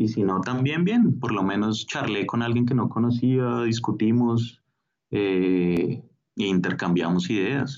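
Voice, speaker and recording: A man's medium-pitched voice with a Bogotá accent, at a very slow pace. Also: ordinary pitch variation. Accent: Bogotá Colombian Spanish. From Bogotá, Colombia. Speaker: street artist and stencil educator. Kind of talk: interview.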